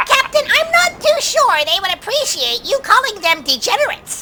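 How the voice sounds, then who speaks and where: Over loud background noise, a squeaky, put-on character voice at an extremely high pitch swings very widely in pitch at a moderate pace. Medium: comedy sketch. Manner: starts lines with a drawn-out "ah".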